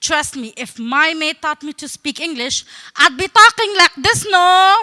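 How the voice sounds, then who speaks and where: A woman speaks at a fairly slow pace in a raised, projected voice with a bright, sharp tone and very wide pitch swings, the sound dry and close with no echo. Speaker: comedian. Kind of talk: talk with comedy. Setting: stage with audience.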